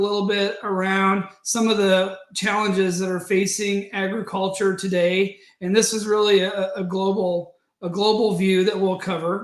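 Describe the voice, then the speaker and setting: Speaking fairly slowly with hardly any pauses, a man with an American accent uses a high pitch and monotone, flat intonation. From US Midwest, Nebraska/Colorado. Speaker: agribusiness sustainability professional. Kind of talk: webinar presentation. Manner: hesitant, many fillers and repetitions.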